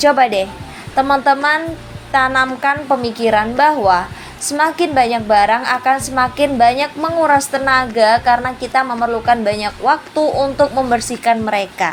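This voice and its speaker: Woman shouting at a high pitch and moderate pace, with ordinary pitch variation, very even loudness and noticeable background noise. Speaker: housewife vlogger. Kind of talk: voice-over tutorial. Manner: loud, somewhat shouting; casual, chatty.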